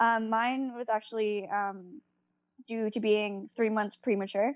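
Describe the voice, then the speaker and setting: This woman has a plain, everyday voice with a fairly high pitch and fairly even intonation, delivered at a moderate pace. The sound is dry and close with no echo, in a very clean recording with a silent background. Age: 20s. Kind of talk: casual chat.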